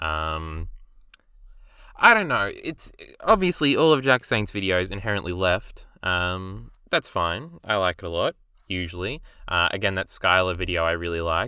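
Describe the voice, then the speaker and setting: With an Australian accent and a very deep, low pitch, a man speaks at a moderate pace in a bright, sharp tone with ordinary pitch variation, on a very clean recording with a silent background. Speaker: YouTube video reviewer. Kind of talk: casual commentary review. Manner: casual, hesitant with fillers.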